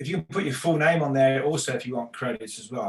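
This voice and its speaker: A man with an English accent speaks in a fairly high, somewhat breathy voice. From England. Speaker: real estate instructor. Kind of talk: online class lecture.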